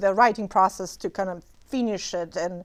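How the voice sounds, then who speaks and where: Recorded very cleanly against a silent background, the speaker talks with a Romanian accent. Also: woman. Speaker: memoir author. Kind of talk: interview. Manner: halting, many fillers.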